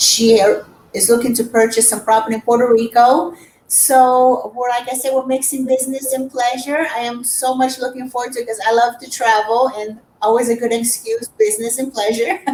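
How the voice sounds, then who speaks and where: Over noticeable background noise, a woman with a Portuguese accent speaks at a moderate pace in a high pitch with fairly even intonation. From Brazil. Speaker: real estate agent. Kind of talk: casual interview.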